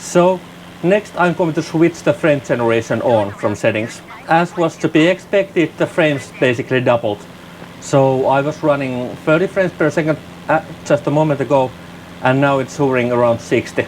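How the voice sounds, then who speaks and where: A non-native accent at very even loudness, over noticeable background noise. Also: man, fairly high pitch for a man, ordinary pitch variation, moderate pace. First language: not English. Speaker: flight sim gaming youtuber. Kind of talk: gameplay commentary. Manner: halting, repeats words.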